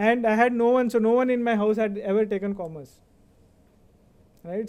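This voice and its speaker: A man's high-pitched, dark, mellow voice with an Indian accent, flat and monotone at a moderate pace. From India (Baroda, Gujarat). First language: Kannada. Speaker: finance executive, convocation speaker. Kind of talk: speech.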